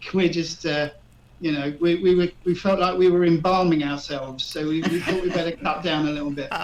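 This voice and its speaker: In a southeast English accent, a man talks at a fairly quick pace and high pitch, with fairly even intonation. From southeast England (Erith, Kent). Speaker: retired expat. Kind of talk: radio interview. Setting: live radio show. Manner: hesitant, many fillers.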